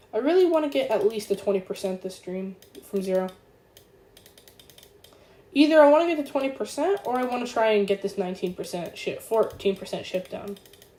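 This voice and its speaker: A quiet, raspy, put-on character voice sounds female and sits fairly high in pitch. It moves at a fairly quick pace yet has long, frequent pauses. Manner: hushed.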